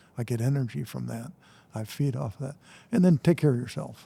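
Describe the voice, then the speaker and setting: A man with an American accent speaks at medium pitch in a dark, mellow tone. His voice is somewhat breathy. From Michigan, US Midwest. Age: 70s. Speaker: retired nonprofit CEO and college co-president. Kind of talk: podcast interview. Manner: casual, halting with many repetitions.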